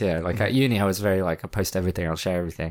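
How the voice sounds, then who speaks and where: A man talking very fast in a very clean recording with a silent background. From France. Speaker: filmmaker and musician. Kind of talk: casual chat.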